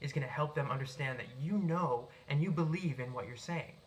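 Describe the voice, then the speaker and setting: A man's very fast, animated speech with an American accent, fairly high in pitch with ordinary pitch variation, over noticeable background noise. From US Northeast, Boston. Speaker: writer and public speaker. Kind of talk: tutorial. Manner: animated, projected voice; unscripted, occasional stumbles.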